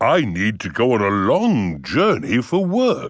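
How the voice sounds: A cartoonish character voice speaks at a fairly slow pace on a very clean recording with a silent background. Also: man, medium pitch for a man.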